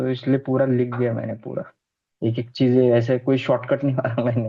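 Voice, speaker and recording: A man's medium-pitched, monotone, flat delivery at a moderate pace. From Maharashtra, India. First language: Marathi (speaking Hindi). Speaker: numerology student. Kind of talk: student presentation feedback chat.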